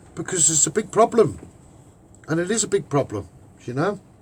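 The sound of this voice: Speaking in a Liverpool accent, a man has a fairly high pitch with big pitch swings and a moderate pace. His tone is slightly mellow with a husky, rough edge. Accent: Liverpool Scouse.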